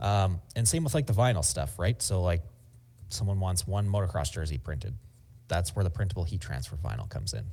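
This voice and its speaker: A very deep, low-pitched man with vocal fry, lively intonation and a fairly quick pace. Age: 30s. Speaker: screen print shop owner and YouTuber. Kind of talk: casual interview chat.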